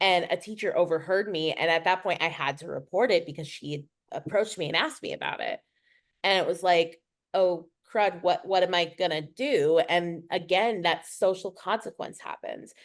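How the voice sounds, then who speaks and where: Against a quiet background, a woman talks at a medium pitch. Her pace is moderate, with ordinary pitch variation. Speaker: podcast co-host. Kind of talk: casual chat. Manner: loud.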